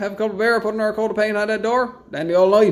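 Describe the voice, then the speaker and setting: A man's high voice in a Newfoundland accent at a very fast pace. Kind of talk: casual chat.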